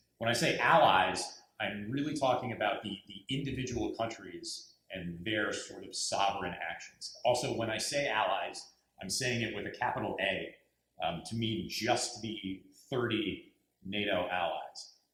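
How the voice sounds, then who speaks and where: This man's speech moves at a fairly slow pace with ordinary pitch variation. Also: medium pitch for a man. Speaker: diplomat. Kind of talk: panel presentation. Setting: university lecture hall with audience. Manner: halting.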